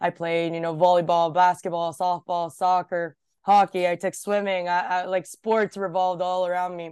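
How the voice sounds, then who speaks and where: A woman talks with a fairly low pitch and monotone, flat intonation. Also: moderate pace, quiet background. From Japan. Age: 20s. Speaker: entrepreneur and former hockey player. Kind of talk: casual interview chat.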